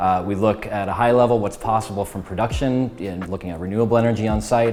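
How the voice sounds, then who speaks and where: Music plays in the background. A man with fairly low pitch talks very fast, with ordinary pitch variation. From US Midwest, small-town Minnesota. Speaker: engineering executive. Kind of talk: company profile interview. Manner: conversational with frequent fillers.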